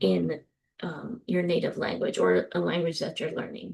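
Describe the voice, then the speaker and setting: A woman with a New Jersey accent speaks at a moderate pace against a quiet background. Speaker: professor. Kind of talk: lecture. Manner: frequent filler ums.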